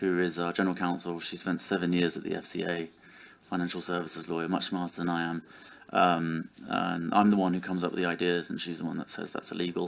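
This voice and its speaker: Speaking very fast in a British accent, a man delivers his words at a very deep, low pitch with monotone, flat intonation. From United Kingdom. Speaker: startup CEO, conference panelist. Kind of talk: conference panel discussion. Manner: hesitant, many fillers and restarts.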